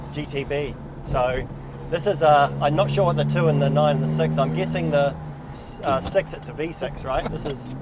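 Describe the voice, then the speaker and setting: A man speaks with a New Zealand accent. There is audible room echo and noticeable background noise. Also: moderate pace. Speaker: car reviewer, channel host. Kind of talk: casual car review chat. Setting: in a car. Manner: loud, shouting over engine.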